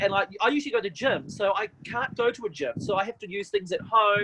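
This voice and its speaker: A man speaks loudly in a high pitch with an animated tone. His intonation is lively and his pace moderate. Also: dry, close sound with no echo. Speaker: TV presenter and MC. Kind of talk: casual chat.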